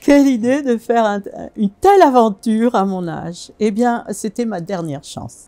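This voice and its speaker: The voice has lively intonation, with music in the background. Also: woman. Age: 70s. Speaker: fasting retreat participant. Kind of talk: testimony. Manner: halting, frequent hesitations.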